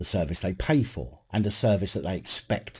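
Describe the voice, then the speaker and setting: With a very deep, low pitch, a dark, mellow tone and vocal fry, a man talks at a fairly quick pace with lively intonation. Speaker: video commentator. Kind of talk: commentary. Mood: critical, sarcastic. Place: home room.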